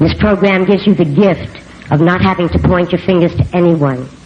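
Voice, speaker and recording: In an American accent, a woman with a fairly low pitch talks at a moderate pace with ordinary pitch variation amid noticeable background noise. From New York City. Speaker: recovery speaker. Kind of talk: recovery testimony. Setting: convention stage with audience.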